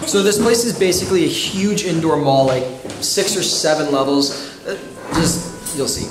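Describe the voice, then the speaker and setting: The speech moves at a moderate pace with ordinary pitch variation over noticeable background noise. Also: man, high pitch for a man. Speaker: travel vlogger. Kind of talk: casual vlog chat. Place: hall. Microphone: phone near.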